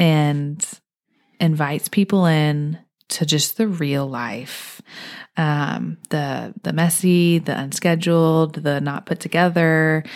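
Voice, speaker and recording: In an American accent, a woman speaks at a very slow pace with a very deep, low pitch and fairly even intonation. The recording is very clean, with a silent background. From Houston, Texas. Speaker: homemaker and wellness educator. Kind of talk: casual chat.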